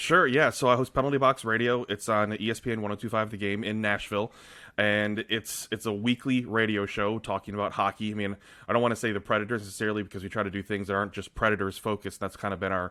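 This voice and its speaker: A man's fairly low, bright, sharp voice at a very fast pace, with fairly even intonation, on a very clean recording with a silent background. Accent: American. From Michigan, US. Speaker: hockey radio host and blogger. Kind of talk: casual interview chat.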